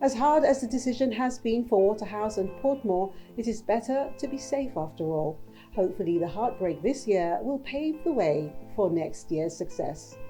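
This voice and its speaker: Over music in the background, a woman speaks at a moderate pace in a fairly high pitch, her voice swinging very widely in pitch. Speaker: news presenter. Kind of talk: news headlines presentation.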